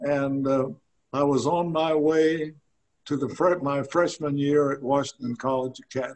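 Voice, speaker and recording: A man's fairly high voice in a Southern US accent, monotone and flat, at a moderate pace. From US South, Tennessee. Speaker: retiree telling his life story. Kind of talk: interview. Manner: halting.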